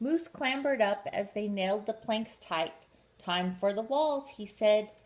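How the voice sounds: The reading is done in a natural voice.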